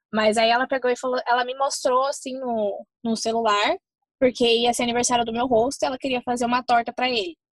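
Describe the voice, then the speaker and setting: Her voice is high for a woman, with fairly even intonation and a fairly quick pace. The sound is dry and close, with no echo. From Brazil. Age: 20s. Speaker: au pair. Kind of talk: casual chat.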